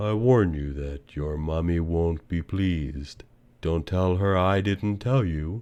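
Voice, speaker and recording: A put-on character voice speaks in a calm tone at a fairly slow pace. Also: man, very deep, low pitch for a man. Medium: read story. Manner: slow, calm, sly.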